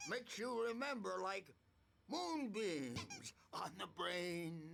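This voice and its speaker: Putting on a character voice, a man speaks very slowly at a high pitch, his voice swinging very widely up and down. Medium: video game. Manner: rambling, unhinged.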